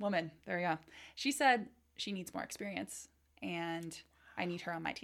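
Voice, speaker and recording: Speaking at a moderate pace with a Californian accent, a woman uses a fairly low pitch and lively intonation, leaving long, frequent pauses. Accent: general American, Californian. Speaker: product marketing manager. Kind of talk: casual interview chat.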